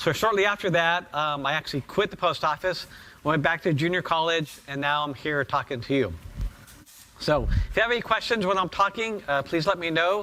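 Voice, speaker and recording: On a very clean recording with a silent background, an animated voice with a bright, sharp tone moves at a moderate pace with ordinary pitch variation. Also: man. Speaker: professor. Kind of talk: lecture.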